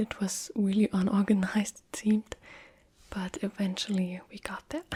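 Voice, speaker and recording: A soft-spoken woman's whisper, somewhat breathy and at a fairly slow pace. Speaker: ASMR creator. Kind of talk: casual talk to camera. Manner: soft-spoken, whispering.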